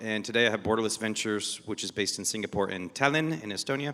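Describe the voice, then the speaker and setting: In an American accent, a man speaks very fast at a medium pitch with ordinary pitch variation and a bright, sharp tone, in a very clean recording with a silent background. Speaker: venture investor. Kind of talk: panel discussion. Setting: stage with audience.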